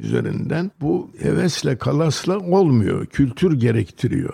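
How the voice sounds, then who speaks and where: Very slowly, a man gets his words out. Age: 80s+. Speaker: photographer. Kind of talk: interview.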